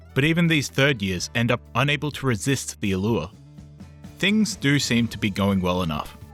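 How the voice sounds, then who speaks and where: A man speaks at a moderate pace with a medium pitch and very wide pitch swings. Music plays in the background. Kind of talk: video essay narration.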